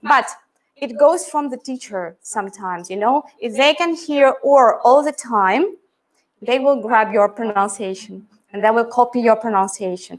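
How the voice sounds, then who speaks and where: A fairly high-pitched woman with an American accent, lively intonation and a moderate pace. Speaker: English pronunciation teacher. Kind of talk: teacher training talk. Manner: casual, conversational.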